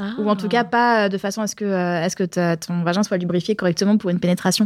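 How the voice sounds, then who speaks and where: Words come at a very fast pace with hardly any pauses and a fairly even intonation. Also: woman. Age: 30s. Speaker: podcast co-host. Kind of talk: casual chat.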